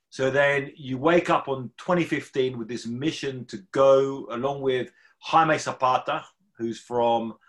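A man's medium-pitched voice with a British accent, fairly slow in pace and with ordinary pitch variation. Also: very clean recording, silent background. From UK. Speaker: journalist and podcast host. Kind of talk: interview. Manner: halting, with fillers.

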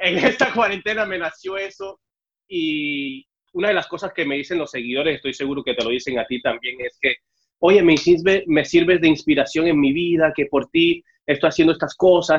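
Pitch varies in an ordinary way as the talking proceeds at a moderate pace. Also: man, high pitch for a man. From Mexico City (born in Cuba, left at seven). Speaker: TV host. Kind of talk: casual interview. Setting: remote video call.

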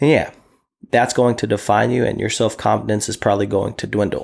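Here a man speaks at a fairly low pitch. His pace is moderate, and his pitch variation is ordinary. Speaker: podcast host and nurse. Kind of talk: casual monologue. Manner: confident.

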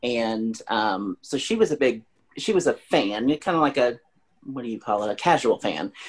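His voice is a plain, everyday voice, pitched in the middle range for a man. He talks at a moderate speed with lively intonation. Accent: American. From Springfield, Missouri. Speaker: fan guest. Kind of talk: casual chat.

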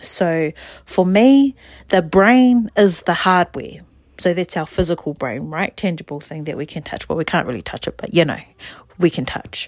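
In a New Zealand accent, a woman speaks at a moderate pace with lively intonation and big swings in loudness, the sound dry and close with no echo. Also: fairly low pitch for a woman. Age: 40s. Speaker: podcast host and therapist. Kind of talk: casual monologue.

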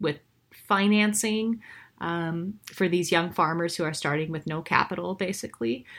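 Over a silent background in a very clean recording, a woman with an American accent has a normal speaking voice, a fairly low pitch with ordinary variation, and a moderate pace. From Montana, US. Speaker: author and former country singer. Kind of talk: interview.

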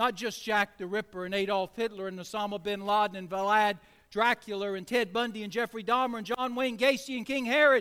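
A man's raised, projected voice, high in pitch with a bright, sharp tone, fairly even intonation, fairly quick pace. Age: 60s. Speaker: pastor. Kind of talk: sermon.

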